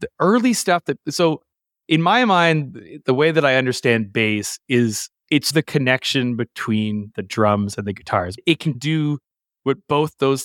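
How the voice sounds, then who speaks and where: This man has an unremarkable speaking voice with a Canadian accent and lively intonation. He talks at a fairly slow pace in a very clean recording with a silent background. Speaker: bass player in a rock band. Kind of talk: casual interview.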